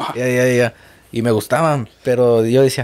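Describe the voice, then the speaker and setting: Fairly slowly, a man talks in a medium-pitched, dark, mellow voice. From Mexico. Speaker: car channel host. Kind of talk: casual interview chat. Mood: relaxed, laughing, storytelling. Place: studio. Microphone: studio mic.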